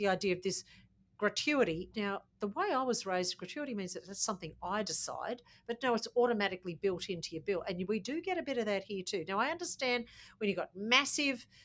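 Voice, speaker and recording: A woman with an Australian accent talks at a fairly high pitch. Her intonation is lively and her pace fairly quick. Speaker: podcast co-host. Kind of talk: casual chat.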